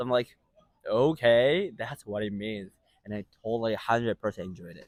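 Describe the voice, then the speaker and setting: In a Japanese accent, a man talks at a moderate pace with ordinary pitch variation and big swings in loudness. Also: medium pitch for a man. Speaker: street interviewer. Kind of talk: casual interview.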